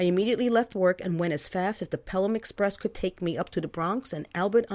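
With ordinary pitch variation, a text is read aloud in a natural voice.

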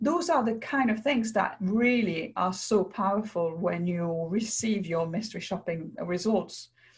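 With a French accent, the speaker talks at a fairly slow pace using lively intonation and hardly any pauses. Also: woman, medium pitch for a woman. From France. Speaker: mystery shopping business owner and author. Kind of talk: interview.

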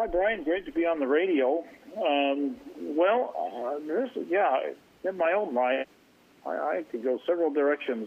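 Speaking fairly slowly with an American accent, a man with an ordinary speaking voice uses lively intonation at a fairly high pitch. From Oregon, US. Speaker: caller. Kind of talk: radio call-in.

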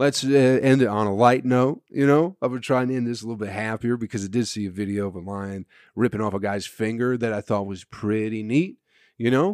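In a very clean recording with a silent background and a dry, close sound with no echo, a man speaks at a fairly quick pace with an animated tone, medium pitch and ordinary pitch variation. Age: 30s. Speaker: comedian and podcast host. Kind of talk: solo podcast monologue. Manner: casual, animated.

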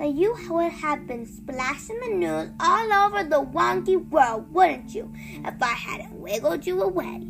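Clear music plays behind a put-on character voice with lively intonation and vocal fry. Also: fairly slow pace, few pauses.

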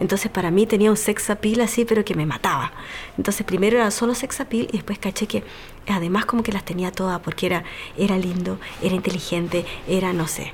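Through noticeable background noise, a woman speaks at a very fast pace with a medium pitch and fairly even intonation. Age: 30s. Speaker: physiatrist and single mother. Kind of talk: personal testimony.

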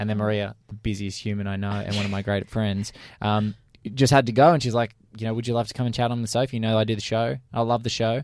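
A man with an Australian accent at a very fast pace, intonation fairly even, in a very clean recording with a silent background. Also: medium pitch for a man. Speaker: podcast co-host. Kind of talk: casual chat.

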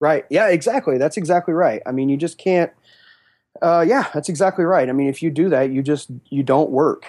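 The speaker has an American accent, ordinary pitch variation and a fairly quick pace. Loudness stays very even in a very clean recording with a silent background. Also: man, fairly high pitch for a man. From Western Kansas. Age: 40s. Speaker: blues and rock drummer. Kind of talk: casual interview chat. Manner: halting, many fillers and repeats.

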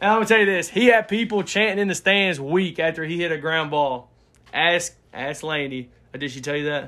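A man with an Alabama accent speaks at a high pitch and fairly quick pace, his tone bright and sharp with ordinary pitch variation, on a very clean recording with a silent background. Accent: Southern US (Alabama). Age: 20s. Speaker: sports podcast co-host. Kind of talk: casual chat.

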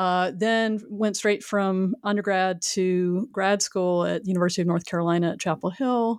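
Over a very clean recording with a silent background, a woman with an American accent uses an ordinary speaking voice at a moderate pace, with fairly even intonation. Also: medium pitch for a woman, hardly any pauses. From US South, Houston area, Texas. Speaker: historian and author. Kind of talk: interview.

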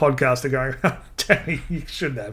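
In an Australian accent, a man with a bright, sharp tone speaks at a moderate pace. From Australia, Adelaide. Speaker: podcast host. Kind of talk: casual chat. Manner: animated.

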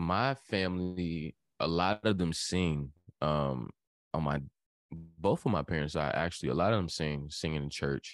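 A man with an American accent speaks at a fairly slow pace in a very deep, low voice with ordinary pitch variation, recorded dry and close with no echo on a very clean track with a silent background. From Virginia, Hampton (757). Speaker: singer and rapper. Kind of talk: casual interview.

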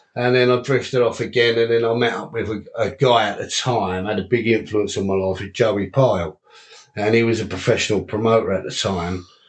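With noticeable noise behind him, a man talks fairly quickly in a fairly even tone. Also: medium pitch for a man. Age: 40s. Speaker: unlicensed boxer and boxing promoter. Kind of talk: casual chat.

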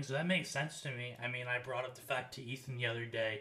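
Someone speaks with an American accent at a fairly quick pace. Noticeable background noise runs underneath. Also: man. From United States. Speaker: sports podcast co-host. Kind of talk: casual chat.

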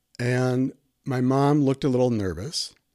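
In a dry, close recording with no echo, a man with an American accent speaks at a medium pitch in a dark, mellow tone. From Milwaukee, Wisconsin, US Midwest. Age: 60s. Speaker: psychotherapist.

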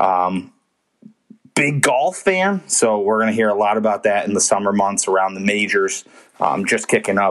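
Moderate-paced speech from a man, a plain, everyday voice, fairly low pitched, with fairly even intonation. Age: 30s. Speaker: sports podcast host. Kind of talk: casual solo monologue. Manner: casual with frequent fillers.

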